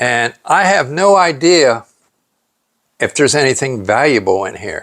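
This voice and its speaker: A man's voice carries vocal fry and very wide pitch swings. He talks at a fairly slow pace. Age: 60s. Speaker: YouTuber reviewing secondhand items. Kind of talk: casual vlog. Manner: halting, many filler words.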